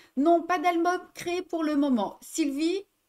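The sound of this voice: The voice is a woman's. She moves along at a fairly slow pace. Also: slightly mellow tone.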